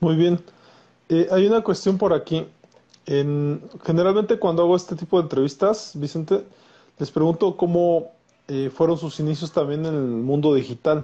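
A man speaks at a high pitch and a moderate pace in a dark, mellow tone, with ordinary pitch variation and long, frequent pauses. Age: 40s. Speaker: psychologist and podcast host. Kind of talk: interview. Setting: Instagram live video stream.

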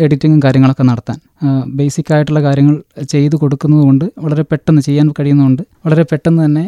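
Dry and close with no echo, a man's fairly high voice has a dark, mellow tone, very even loudness and monotone, flat intonation. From Kerala, Wayanad. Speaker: novelist and teacher. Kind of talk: interview.

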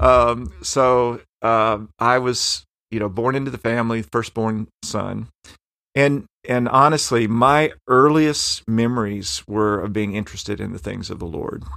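The voice has a bright, sharp tone and an American accent at a fairly slow pace. The recording is very clean, with a silent background. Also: man, medium pitch for a man, ordinary pitch variation. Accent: strong Southern US, somewhat blunted. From western Tennessee, US South. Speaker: professor. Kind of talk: interview, personal storytelling.

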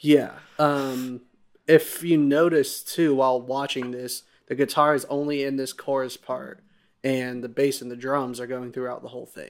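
The delivery is monotone, with flat intonation. It moves at a moderate pace. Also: man, medium pitch for a man, big swings in loudness. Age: 20s. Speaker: podcast host. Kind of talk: casual chat.

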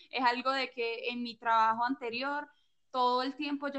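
Her pitch is high, and the intonation stays monotone and flat. This woman talks at a moderate pace. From Venezuela, Maracaibo. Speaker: small business owner, pastry maker. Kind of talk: casual interview.

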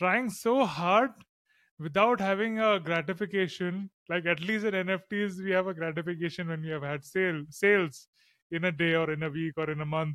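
A man's high-pitched voice at a moderate pace, with ordinary pitch variation, on a very clean recording with a silent background. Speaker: podcast host and NFT artist. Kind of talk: casual podcast interview.

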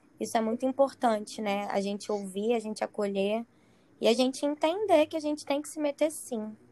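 At a moderate pace, a woman speaks in a fairly high pitch with lively intonation. Her tone is dark and mellow. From Espírito Santo. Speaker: psychologist. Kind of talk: casual chat.

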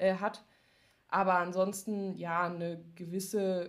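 A very slow, monotone woman's voice at medium pitch with flat intonation. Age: 20s. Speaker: powerlifter and social media creator. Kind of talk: casual chat.

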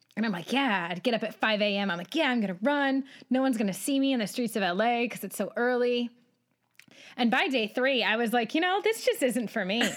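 A woman speaks with a high pitch and lively intonation. Her pace is fairly quick. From Michigan. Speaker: podcast host. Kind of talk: casual interview chat.

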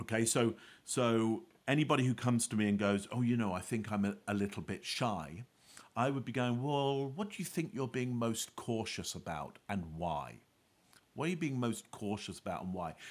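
A man with a British accent, medium pitch, a moderate pace and lively intonation. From UK. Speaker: body language expert and author. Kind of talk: interview.

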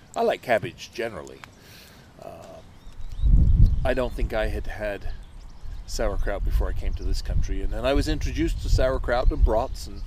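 A man speaks at a moderate pace, leaving long, frequent pauses. His loudness swings widely over noticeable background noise. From England. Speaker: pastor and podcast host. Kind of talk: casual chat. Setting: outdoors by a campfire.

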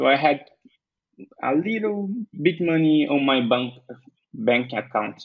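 A man's fairly high voice with a Portuguese accent, very slow, with ordinary pitch variation. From Brazil, Bahia. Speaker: entrepreneur and web developer. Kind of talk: interview. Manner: halting.

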